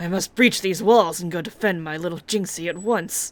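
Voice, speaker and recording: A female-sounding speaker uses a put-on character voice at medium pitch and a moderate pace. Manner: dramatic, theatrical.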